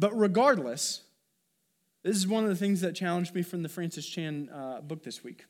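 In a very clean recording with a silent background, a man with a high pitch and ordinary pitch variation speaks at a moderate pace, with big swings in loudness. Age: 30s. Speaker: pastor. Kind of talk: sermon.

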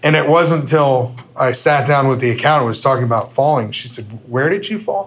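A somewhat breathy man's voice, fairly high in pitch, at a fairly quick pace with ordinary pitch variation. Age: 50s. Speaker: youth minister. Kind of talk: testimony. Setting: men's breakfast event with audience.

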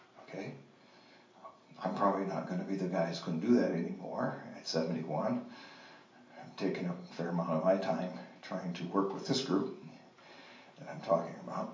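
A man's very deep, low voice with ordinary pitch variation, long, frequent pauses and noticeable background noise. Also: moderate pace, big swings in loudness. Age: 70s. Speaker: men's ministry speaker. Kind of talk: sermon. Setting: church.

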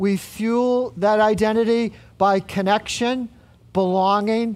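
A very slow, high-pitched male voice on a very clean recording with a silent background. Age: 60s. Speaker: pastor. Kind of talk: sermon. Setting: church.

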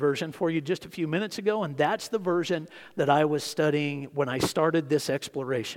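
A man talks at a fairly quick pace in a fairly high pitch with ordinary pitch variation. It is a normal speaking voice. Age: 50s. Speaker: pastor. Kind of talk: sermon.

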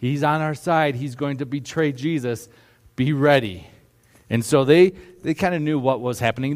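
Moderate pace with a slight Upper Midwest accent and ordinary pitch variation. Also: man. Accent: slight North Midwest, Minnesota-like. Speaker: pastor. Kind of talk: sermon.

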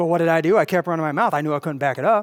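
In a very clean recording with a silent background, a man talks very fast in a fairly high pitch. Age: 40s. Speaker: youth pastor. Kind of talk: sermon.

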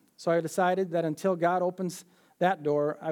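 Pitched high for a man, this voice carries an Upper Midwest accent with ordinary pitch variation. The recording is very clean, with a silent background. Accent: Upper Midwest American. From Minnesota, US. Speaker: church member giving testimony. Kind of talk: testimony.

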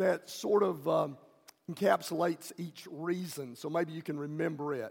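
Ordinary pitch variation comes with a moderate pace throughout. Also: man. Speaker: preacher. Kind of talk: sermon. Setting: church.

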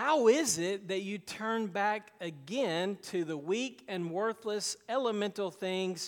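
The voice is an unforced reading voice. Its pitch varies in an ordinary way.

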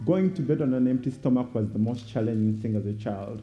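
Dark, mellow, somewhat breathy male voice. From Uganda. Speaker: guest speaker for a child sponsorship charity. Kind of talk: sermon; testimony. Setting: church.

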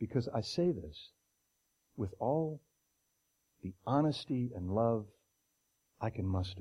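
Speaking very slowly with long, frequent pauses, a man has a somewhat breathy, dark, mellow tone. His medium-pitched voice moves with lively intonation. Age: 60s. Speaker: lay preacher. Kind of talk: sermon. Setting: church. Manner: conversational.

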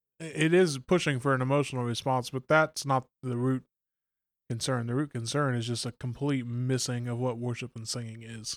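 An ordinary speaking voice from a man, medium in pitch, at a moderate pace, dry and close with no echo, on a very clean recording with a silent background. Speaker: pastor. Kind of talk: casual discussion.

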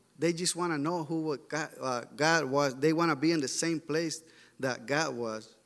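Speaking at a fairly slow pace with a Mexican accent, a man keeps his fairly high voice at a fairly even intonation. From Mexico. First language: Spanish. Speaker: church member sharing a mission report. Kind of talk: sermon. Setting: church. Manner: halting.

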